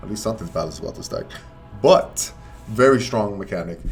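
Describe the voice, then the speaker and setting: A man at a fairly quick pace with ordinary pitch variation, amid audible room echo and noticeable background noise. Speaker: card game content creator. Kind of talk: tutorial. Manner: fast; animated.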